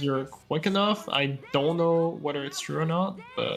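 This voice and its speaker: Someone with a French accent talks at a fairly slow pace. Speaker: speedrunner. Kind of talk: live gameplay commentary. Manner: halting.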